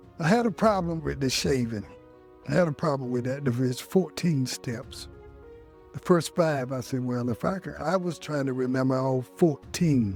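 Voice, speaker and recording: A man with an American accent talks at a moderate pace, with music in the background. His pitch is fairly high for a man, and his intonation is lively. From Melbourne, Australia, then North Carolina. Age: 60s. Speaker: Vietnam veteran, barber student. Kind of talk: interview answer. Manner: casual, conversational.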